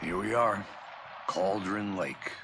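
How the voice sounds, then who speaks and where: A man's put-on character voice, fairly low in pitch and monotone with flat intonation, over clear background noise. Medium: video game. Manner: dry, deadpan.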